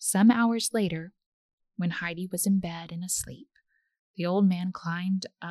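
The speaker uses an unforced reading voice with ordinary pitch variation over a quiet background.

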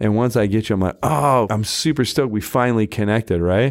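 An ordinary speaking voice from a man with an American accent, fairly low in pitch with ordinary pitch variation, at a fairly quick pace on a very clean recording with a silent background. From Utah, Salt Lake City. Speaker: real estate agent and team leader. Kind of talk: interview.

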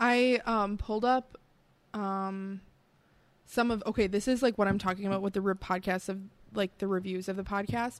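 With a strong Midwestern accent, the speaker talks at a moderate pace in a monotone, flat way, leaving long, frequent pauses in a very clean recording with a silent background. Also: woman, medium pitch for a woman. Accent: Midwest, fairly thick. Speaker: podcast co-host. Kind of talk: casual chat while drinking beer.

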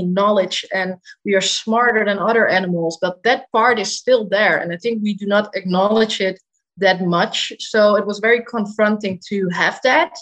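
A woman's medium-pitched voice with a Dutch accent, fairly even intonation, and a moderate pace. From Netherlands, Amsterdam. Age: 20s. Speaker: dietitian. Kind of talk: interview.

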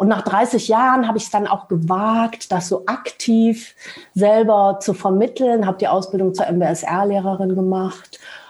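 At a fairly slow pace and medium pitch, a woman talks with fairly even intonation amid noticeable background noise. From Lower Rhine region, Germany. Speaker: translator and mindfulness teacher. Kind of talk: casual interview conversation. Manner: halting, many filler sounds.

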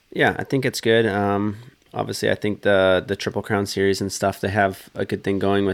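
A fairly low-pitched man in a western Canadian accent, fairly quick in pace, with monotone, flat intonation. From British Columbia, western Canada. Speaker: professional motocross racer. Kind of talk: casual chat. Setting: studio.

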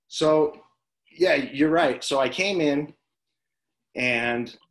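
A man with an American accent. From Las Vegas, Nevada. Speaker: former pro baseball player and high school coach. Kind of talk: casual interview chat.

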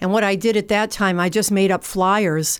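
A woman speaks at a moderate pace in a Massachusetts accent, her pitch medium for a woman. The recording is very clean, with a silent background. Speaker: nonprofit founder and veterans outreach worker. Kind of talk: radio interview.

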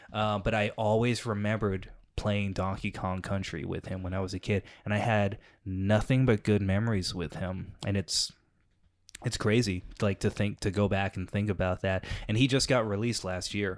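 This is a man with an ordinary speaking voice, fairly low in pitch, with fairly even intonation at a moderate pace. The recording is very clean, with a silent background. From England, then Texas. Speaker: comedian and improviser. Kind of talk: casual chat.

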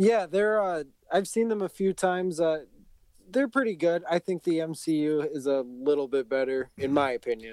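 This man talks at a moderate pace with lively intonation. The sound is dry and close, with no echo. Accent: American. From Minnesota, Bloomington. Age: 20s. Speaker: video game streamer. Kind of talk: casual chat.

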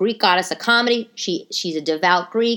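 Animated and bright, sharp in tone, this voice speaks in a New York accent. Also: woman. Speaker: comedian. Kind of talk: casual chat. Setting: home. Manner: fast talker.

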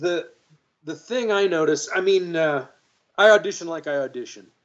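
With lively intonation, a man speaks in a Texan accent. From Texas, Dallas. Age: 50s. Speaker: actor and guitarist. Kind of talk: interview conversation.

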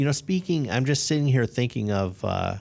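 A man speaks with a Chicago accent and ordinary pitch variation. The recording is very clean, the background silent. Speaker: podcast host. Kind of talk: casual interview.

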